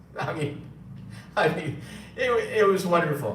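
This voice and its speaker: With a New York accent, a man talks at a moderate pace amid audible room echo and noticeable background noise. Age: 60s. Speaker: gold seller and former radio engineer. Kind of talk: live stream talk. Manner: halting, many fillers.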